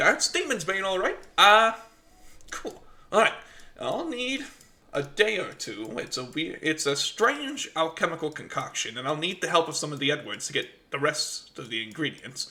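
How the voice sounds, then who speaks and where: A man is doing a put-on character voice. His pitch is high. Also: moderate pace. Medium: actual play. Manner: distracted, brisk.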